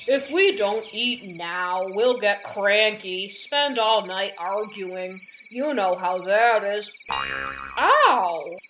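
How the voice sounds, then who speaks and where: Put-on character voice at a fairly high pitch, very slow pace, clear background noise. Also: hardly any pauses. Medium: read story. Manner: snarling, growling.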